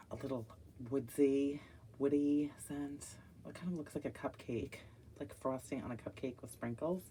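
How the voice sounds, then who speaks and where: Her voice is dark and mellow in tone, with a very deep, low pitch and ordinary pitch variation. This woman leaves long, frequent pauses, and her loudness swings widely. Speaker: wax melt reviewer. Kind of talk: casual product review. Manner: slow.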